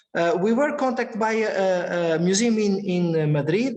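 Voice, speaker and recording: With ordinary pitch variation, a man speaks amid audible room echo and noticeable background noise. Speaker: researcher presenting imaging technology. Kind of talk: lecture Q&A answer. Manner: halting, many repetitions.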